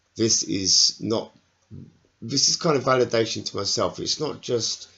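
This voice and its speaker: A man mumbles quietly. His intonation is lively. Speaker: network marketing salesperson vlogger. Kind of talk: personal video diary. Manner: halting, hesitant with fillers; quiet, mumbling.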